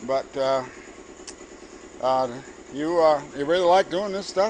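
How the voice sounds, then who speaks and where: Fairly slow speech from a man in a fairly high pitch, ordinary pitch variation throughout, against noticeable background noise. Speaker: home car restorer filming. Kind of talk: casual narration to camera.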